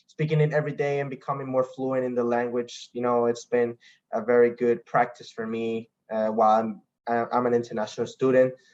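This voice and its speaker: In a Spanish accent, a man speaks at a medium pitch in a flat monotone. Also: fairly quick pace. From Costa Rica. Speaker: international student athlete. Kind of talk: online info session talk. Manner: halting, with frequent restarts.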